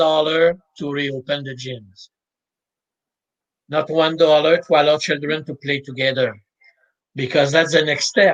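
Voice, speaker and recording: With a Quebec accent, a man at a fairly high pitch talks at a moderate pace, broken by long, frequent pauses. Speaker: mental preparation coach. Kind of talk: interview.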